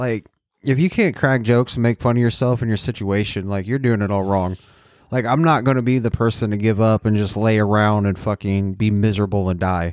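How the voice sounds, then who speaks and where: On a very clean recording with a silent background, a man with a normal speaking voice and a fairly low pitch talks at a fairly quick pace. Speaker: podcast co-host, health-struggling. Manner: jokey, deadpan.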